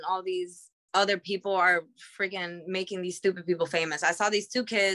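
A woman's medium-pitched voice with a bright, sharp tone, fairly even intonation and a New York accent. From Queens, New York. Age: 30s. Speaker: professional wrestler. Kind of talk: casual chat.

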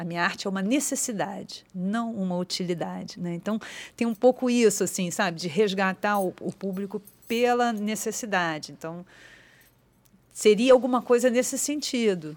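Speaking at a moderate pace and medium pitch, a woman with a normal speaking voice shows ordinary pitch variation and big swings in loudness on a very clean recording with a silent background. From Rio de Janeiro, Ilha do Governador. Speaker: actress and theatre teacher. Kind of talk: casual interview. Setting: studio.

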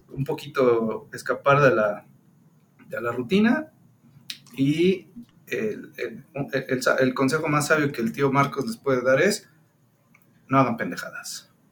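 A man speaks at a very slow pace, leaving long, frequent pauses. His fairly high voice moves in very wide pitch swings. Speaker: podcast co-host. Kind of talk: casual chat.

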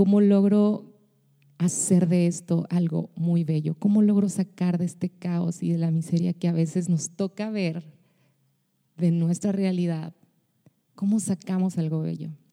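A woman's fairly low-pitched voice with a dark, mellow tone, monotone, flat intonation, a fairly slow pace and long, frequent pauses. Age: 30s. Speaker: podcast host, pastor and singer. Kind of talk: personal podcast monologue.

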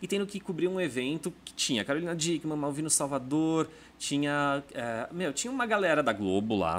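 Hardly pausing, a man speaks at a moderate pace in a fairly high pitch with very wide pitch swings. The recording is very clean, with a silent background. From interior of São Paulo state. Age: 30s. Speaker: gossip journalist. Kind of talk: casual interview chat. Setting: studio.

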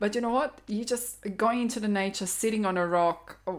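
A woman with a Croatian accent speaks at a moderate pace with ordinary pitch variation. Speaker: intuitive counselor. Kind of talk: interview conversation.

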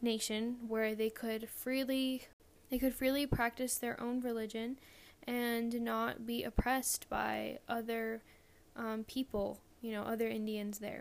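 Very slowly, a woman with an American accent speaks at a fairly high pitch in a monotone, flat intonation. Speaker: podcast host. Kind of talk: casual monologue; interview. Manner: halting.

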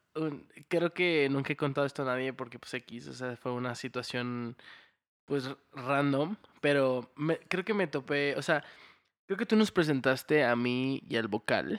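Recorded very cleanly against a silent background with a dry, close sound and no echo, a man in an unremarkable speaking voice talks at a fairly high pitch and a fairly slow pace with lively intonation. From Houston, Texas. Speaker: podcast host. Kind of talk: casual chat.

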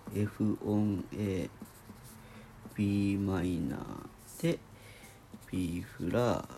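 A man at a very slow pace and fairly low pitch, with long, frequent pauses over noticeable background noise. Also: ordinary pitch variation. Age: 30s. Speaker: video diary vlogger. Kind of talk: casual solo vlog, music chord analysis. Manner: halting, thinking aloud.

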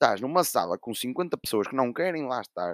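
Here a man talks at a moderate pace with very wide pitch swings. The sound is dry and close with no echo, on a very clean recording with a silent background. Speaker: podcast host. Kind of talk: casual chat.

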